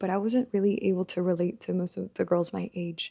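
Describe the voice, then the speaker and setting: A woman speaks with an American accent in a dark, mellow tone. The sound is dry and close, with no echo. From Mexico and Texas. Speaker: lifestyle vlogger. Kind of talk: personal storytelling. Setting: home recording to camera. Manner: casual, many fillers.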